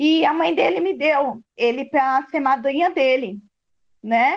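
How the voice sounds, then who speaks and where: A woman's voice at a fairly slow pace. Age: 40s. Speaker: sister of a police violence victim. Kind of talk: testimony.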